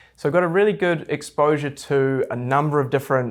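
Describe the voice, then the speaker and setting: The speaker is a man with a New Zealand accent. The pitch of his voice varies in an ordinary way. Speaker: real estate investment advisor. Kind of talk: interview.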